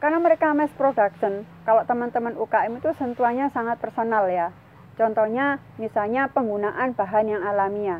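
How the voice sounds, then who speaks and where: With an ordinary speaking voice, a woman talks at a fairly quick pace and a fairly high pitch, her pitch varying in an ordinary way. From East Java (Sidoarjo). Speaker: food processing consultant. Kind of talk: informal business talk / tutorial.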